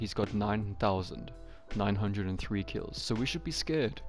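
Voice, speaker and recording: A man with a South African accent, with music in the background. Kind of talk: casual gameplay commentary. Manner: upbeat, joking.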